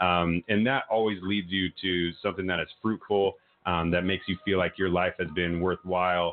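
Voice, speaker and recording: A man with a very deep, low voice speaks at a moderate pace in a monotone, flat intonation. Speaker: nonprofit literacy program representative. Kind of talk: interview.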